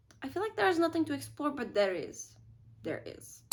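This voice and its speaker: With vocal fry, a woman speaks in very wide pitch swings. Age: 20s. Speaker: YouTuber. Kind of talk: casual talk to camera.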